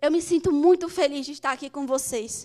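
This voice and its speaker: Here a woman speaks with a high pitch and ordinary pitch variation. Her pace is moderate. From Brazil, Manaus, Amazonas. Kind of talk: speech to live audience.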